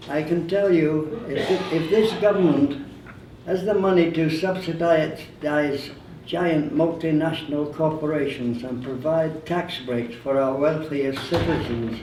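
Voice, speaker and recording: Over noticeable background noise, a man with a fairly high pitch and ordinary pitch variation speaks at a fairly slow pace. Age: 80s+. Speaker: war veteran. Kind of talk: public speech.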